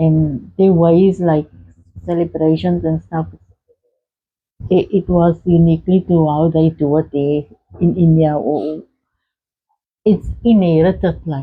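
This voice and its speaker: The speaker is somewhat breathy, moving at a fairly slow pace with long, frequent pauses and fairly even intonation. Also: woman, very deep, low pitch for a woman. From South Africa, Cape Town. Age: 60s. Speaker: interviewee sharing life story. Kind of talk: interview. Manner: soft-spoken; halting.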